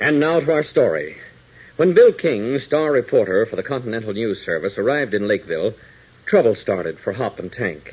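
At a moderate pace, a man speaks at a fairly low pitch with lively intonation, a slightly mellow tone and a slightly husky edge.

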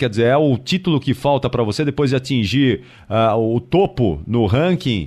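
A man's normal speaking voice, medium in pitch, with lively intonation and a moderate pace. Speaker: radio host. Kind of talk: radio interview.

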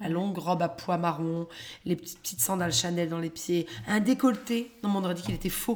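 A woman talks at a moderate pace in a medium pitch, sounding animated. Noticeable background noise runs behind her. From London, England (raised), born in Paris. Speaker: comedian, former business lawyer. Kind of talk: casual chat. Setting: at home.

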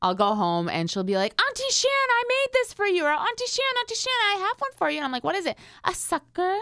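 With an American accent, a woman talks at a fairly quick pace with hardly any pauses, against noticeable background noise. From US Midwest, grew up near the station. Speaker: radio morning show co-host. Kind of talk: casual chat.

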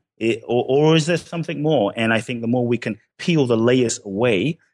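A man with a Ghanaian accent at a moderate pace, with ordinary pitch variation, a quiet background, and a dry, close sound with no echo. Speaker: personal development author. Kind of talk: interview.

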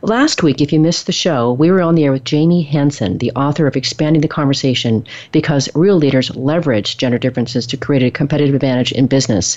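A woman with an American accent speaks in a very deep, low voice at a very fast pace, her loudness very even, her pitch variation ordinary and her pauses hardly there at all. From US Pacific Northwest. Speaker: radio show host. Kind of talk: interview.

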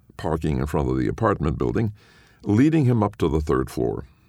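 You hear a natural reading voice here. Nothing else about it stands out.

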